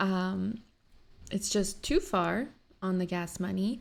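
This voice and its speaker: A woman speaks at a medium pitch with a Canadian accent. The recording is very clean, with a silent background. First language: Polish. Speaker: stay-at-home mom reaction vlogger. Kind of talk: casual vlog chat. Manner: chatty, filler-heavy.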